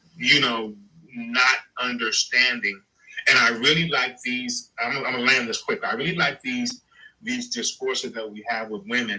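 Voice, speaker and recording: A man speaks in an ordinary speaking voice, pitched medium with ordinary variation and delivered at a moderate pace. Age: 60s. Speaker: panelist on live talk show. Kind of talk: live stream panel discussion.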